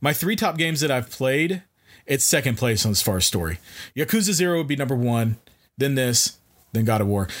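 A man's medium-pitched voice at a fairly quick pace, with very wide pitch swings and very even loudness. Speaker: podcast co-host. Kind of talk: casual chat. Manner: speeds up when excited.

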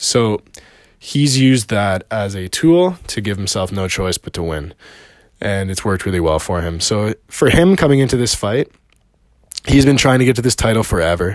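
With a Canadian accent, a man speaks at a moderate pace in a fairly low pitch, using lively intonation and a plain, everyday voice. The recording is very clean, with a silent background. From Canada. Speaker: personal trainer and MMA fan commentator. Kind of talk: solo video monologue, fight analysis. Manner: casual, with frequent fillers.

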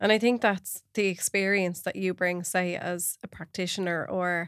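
A woman's medium-pitched voice with an Irish accent, monotone and flat in intonation, at a moderate pace, in a very clean recording with a silent background. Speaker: podcast host. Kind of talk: casual chat.

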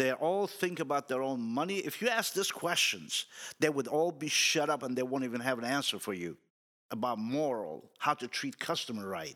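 This man has a bright, sharp tone and a medium pitch that swings very widely. He keeps a moderate pace on a very clean recording with a silent background. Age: 60s. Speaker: car dealership employee. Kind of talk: casual chat.

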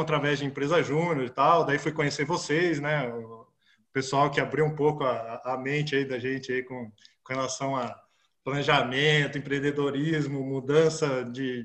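A man with a normal speaking voice talks fairly slowly at a fairly high pitch. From Brazil, interior of Paraná. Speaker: startup founder, mechanical engineer. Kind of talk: interview conversation.

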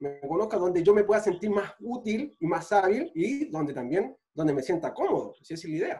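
A man with a Chilean accent speaks at a moderate pace in a high pitch, with very wide pitch swings. His loudness swings widely, and music plays in the background. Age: 30s. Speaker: physical trainer and sports physiotherapist. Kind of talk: casual chat.

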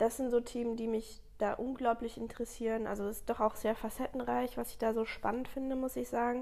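Pitched fairly high, a woman talks at a fairly quick pace with hardly any pauses, her dark, mellow tone carrying a monotone, flat intonation. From Germany, Ludwigshafen area (Palatinate). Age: 20s. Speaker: master baker. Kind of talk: casual interview.

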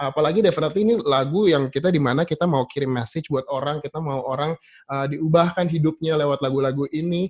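Speaking at a very fast pace with hardly any pauses, a man uses a fairly high, somewhat breathy voice with ordinary pitch variation in a dry, close sound with no echo. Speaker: worship leader. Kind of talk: casual panel discussion. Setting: video call. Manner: calm.

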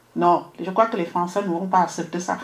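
Noticeable background noise around a woman talking at a moderate pace. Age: 50s. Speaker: radio journalist. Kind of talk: radio debate. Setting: radio studio, live stream. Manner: halting.

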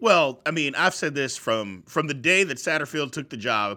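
A man with an American accent speaks at a fairly high pitch, his tone bright and sharp and his intonation lively, on a very clean recording with a silent background. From Louisville area, Kentucky/southern Indiana. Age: 40s. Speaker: sports podcast host. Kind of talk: casual sports talk.

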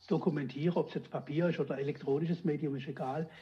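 A man's normal speaking voice, fairly high in pitch, with fairly even intonation and a fairly quick pace. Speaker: retired police detective. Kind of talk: storytelling interview.

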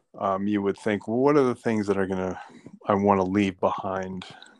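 Recorded dry and close with no echo over a quiet background, a man talks at a fairly low pitch. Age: 50s. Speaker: teacher interviewed by his daughter. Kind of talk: casual interview. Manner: halting, many fillers.

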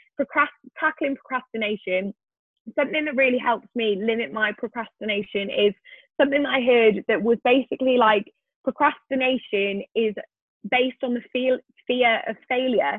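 Speaking in a Welsh accent, a woman uses a high pitch. Her pace is fairly quick, with ordinary pitch variation. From Wales. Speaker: medical student and YouTuber. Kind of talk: interview.

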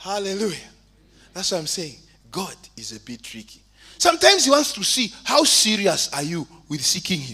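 A man with a high voice speaks at a moderate pace, raised and projected, with an animated tone, very wide pitch swings and big swings in loudness. He leaves long, frequent pauses, and noticeable background noise can be heard. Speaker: preacher. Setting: church. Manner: animated, fervent, exhortative; humorous, conversational asides.

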